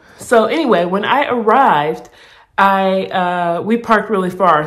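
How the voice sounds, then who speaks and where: A woman speaks at a medium pitch, with noticeable background noise and audible room echo. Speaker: vlogger documenting weight loss surgery. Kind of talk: casual vlog storytelling. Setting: hospital room. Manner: animated, casual; quiet, hushed in hospital clip.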